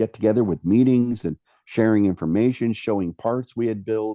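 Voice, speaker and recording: A man talks in a fairly low voice with a dark, mellow tone. The sound is dry and close with no echo, and the background is quiet. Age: 60s. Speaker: prop and model builder, actor. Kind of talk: interview. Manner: halting, many fillers and repeats.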